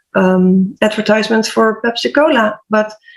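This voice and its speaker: With a Dutch accent, a woman speaks at a fairly high pitch and with fairly even intonation. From Netherlands. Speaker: HR/PR coach and health podcaster. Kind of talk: panel discussion.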